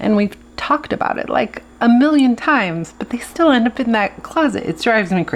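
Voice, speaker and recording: A woman speaks at a fairly quick pace and a fairly high pitch, with very wide pitch swings. Noticeable background noise runs underneath. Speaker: planner video creator. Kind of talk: casual tutorial.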